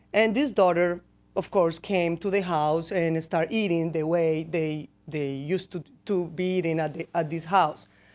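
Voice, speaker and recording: On a very clean recording with a silent background, a woman with a fairly low voice speaks at a moderate pace. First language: not English. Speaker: company research director. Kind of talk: conference presentation. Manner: halting, many restarts.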